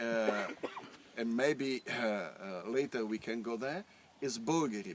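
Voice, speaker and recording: A man speaks in an Italian accent at a moderate pace. His pitch variation is ordinary. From northern Italy. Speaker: winemaker. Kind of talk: guided tour explanation. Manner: halting, many fillers.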